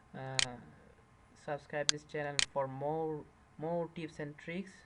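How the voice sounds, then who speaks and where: A very slow, monotone delivery with flat intonation, big swings in loudness and a non-native accent. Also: man, fairly high pitch for a man. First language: not English. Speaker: tech tutorial youtuber. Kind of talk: screen-recorded tutorial. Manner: halting, many fillers.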